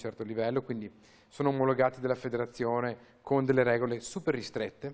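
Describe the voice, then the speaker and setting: Someone talks at a very fast pace with a slight Venetian accent. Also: man. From Veneto, Italy. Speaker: racing driver. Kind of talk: TV interview. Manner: animated.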